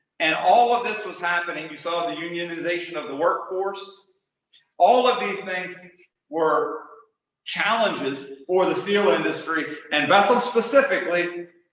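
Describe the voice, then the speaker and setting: The speaker has an American accent. The room echo is audible. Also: man, high pitch for a man, ordinary pitch variation, moderate pace. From western Pennsylvania, Cambria County. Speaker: author and college teacher. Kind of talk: lecture. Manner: frequent filler uh.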